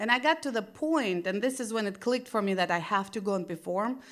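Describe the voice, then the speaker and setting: On a very clean recording with a silent background, a woman with a Russian accent speaks at a fairly high pitch with ordinary pitch variation. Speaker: stand-up comedian. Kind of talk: stand-up. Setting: stage with audience.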